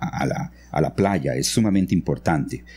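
A man's very deep, low voice carries vocal fry and very wide pitch swings. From Costa Rica, grew up in San Vito near Panama border. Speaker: architect and engineer. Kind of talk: interview. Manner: halting, many fillers and repetitions.

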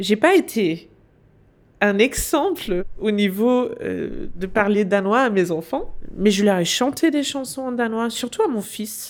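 A woman with a Danish accent speaks very slowly at a fairly high pitch, in a very clean recording with a silent background. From Denmark. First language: Danish (speaking French). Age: 40s. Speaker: business consultant. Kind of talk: interview. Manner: hesitant.

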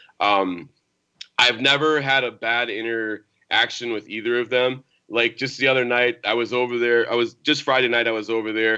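Against a quiet background, a man with an American accent speaks at a moderate pace, his medium-pitched voice bright and sharp in tone. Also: fairly even intonation. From Minnesota (Austin). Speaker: basketball recruiting analyst and special ed teacher. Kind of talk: interview. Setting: remote call.

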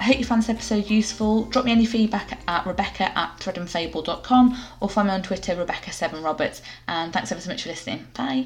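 Talking at a very fast pace, a woman uses lively intonation at a medium pitch. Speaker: podcast host. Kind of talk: scripted intro and casual interview.

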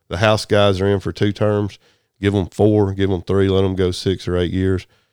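On a very clean recording with a silent background, a man with a Southern US accent talks at a moderate pace in a very deep, low voice with a dark, mellow tone. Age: 50s. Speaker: telecom business owner. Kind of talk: casual interview chat.

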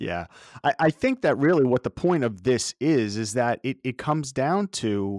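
Here is an unremarkable speaking voice with lively intonation. The recording is very clean, with a silent background. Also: man. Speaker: podcast host. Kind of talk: interview conversation.

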